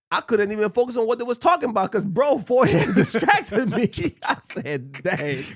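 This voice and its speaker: An animated man with a high pitch, very wide pitch swings and a fairly quick pace, over noticeable background noise. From US. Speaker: podcast host. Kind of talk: casual chat. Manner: stutter.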